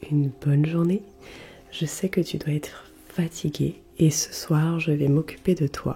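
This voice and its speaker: Very deep and low, the woman's voice has a dark, mellow tone and is somewhat breathy. She goes at a fairly slow pace with fairly even intonation. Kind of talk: ASMR role play skincare routine. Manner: soft-spoken, slow.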